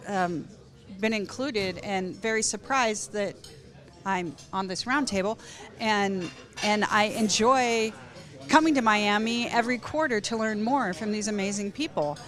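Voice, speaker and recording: Audible room echo surrounds a woman speaking at a moderate pace with fairly high pitch and ordinary variation, leaving long, frequent pauses. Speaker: physician. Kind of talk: panel discussion. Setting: conference round table.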